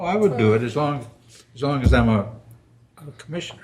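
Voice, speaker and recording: A man speaks in a somewhat breathy voice. There is audible room echo around him. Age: 80s+. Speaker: planning commission secretary. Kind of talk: public meeting discussion.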